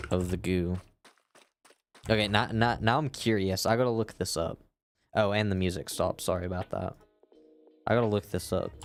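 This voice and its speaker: Fairly quick speech with ordinary pitch variation, long and frequent pauses, and music in the background. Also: man. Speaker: gaming streamer. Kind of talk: casual live-stream chat. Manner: halting, with repetitions and pauses.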